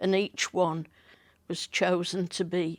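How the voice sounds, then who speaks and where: A woman at a medium pitch is heard on a very clean recording with a silent background. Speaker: former Cub Scouts leader, village resident. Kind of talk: oral history interview, reminiscing.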